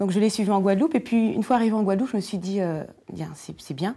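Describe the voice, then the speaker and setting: Moving at a fairly quick pace, a woman talks in a dark, mellow tone. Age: 40s. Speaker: leather goods designer; guest. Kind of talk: panel discussion. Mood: relaxed, candid, animated. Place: studio.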